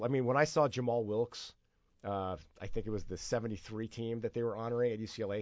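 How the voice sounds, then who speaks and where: Here a man talks at a moderate pace. He has an unremarkable speaking voice at medium pitch. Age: 50s. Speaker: sports radio host. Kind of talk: casual sports talk radio. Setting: radio studio.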